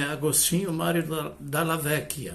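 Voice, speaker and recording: A man talks in a monotone, flat intonation with a fairly high pitch. Audible room echo and noticeable background noise surround his voice. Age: 70s. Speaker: retired professor. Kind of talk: lecture.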